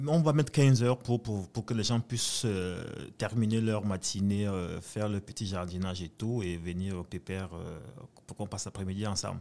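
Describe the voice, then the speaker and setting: In a very clean recording with a silent background, a man talks at a moderate pace with a fairly low pitch. His tone is dark and mellow, and his pitch varies in an ordinary way. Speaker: conference organizer. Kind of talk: radio interview. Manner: halting.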